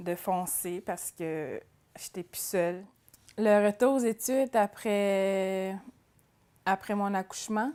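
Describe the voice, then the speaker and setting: A woman speaks very slowly with a Quebec accent, at medium pitch and with fairly even intonation. Her tone is dark and mellow. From Atikamekw community, central Quebec. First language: Atikamekw (speaking French). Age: 20s. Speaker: adult education student. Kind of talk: personal testimony interview. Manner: hesitant, with fillers and repetitions.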